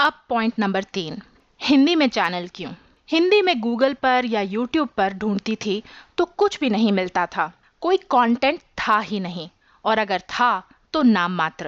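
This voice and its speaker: Her voice is fairly high in pitch for a woman, with lively intonation. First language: English (more comfortable than Hindi) (speaking Hindi). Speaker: YouTube tutorial creator, digital marketing specialist. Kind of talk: podcast monologue. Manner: formal, structured explanation.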